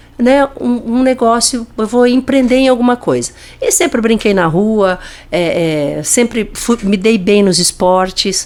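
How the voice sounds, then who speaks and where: Very wide pitch swings at a fairly slow pace, with noticeable background noise. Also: woman. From Paraná, Brazil (Francisco Beltrão). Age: 60s. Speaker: business leader. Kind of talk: podcast interview.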